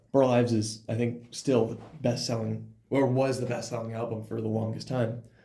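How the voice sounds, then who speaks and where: With an American accent, a man with a medium pitch and a dark, mellow, somewhat breathy tone speaks at a moderate pace in monotone, flat intonation, with audible room echo. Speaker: podcast co-host. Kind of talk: casual chat.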